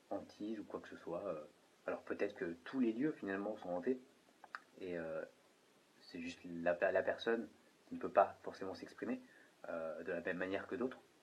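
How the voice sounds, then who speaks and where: A man is talking. His speed is moderate. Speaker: paranormal investigator. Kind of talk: on-site investigation commentary, addressing spirits and viewers. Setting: indoors at night in an old hotel-restaurant. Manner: halting, with repetitions and fillers.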